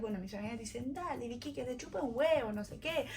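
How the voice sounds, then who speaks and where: A woman's animated voice with lively intonation amid noticeable background noise. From France. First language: French (speaking Spanish). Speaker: vlogger. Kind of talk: personal storytelling vlog.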